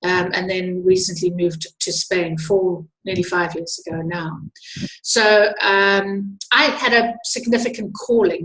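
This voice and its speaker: Speaking at a fairly slow pace, a woman with a South African accent has a medium pitch and ordinary pitch variation. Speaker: wildlife tour organizer. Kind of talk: webinar presentation. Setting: online webinar. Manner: hesitant, many fillers.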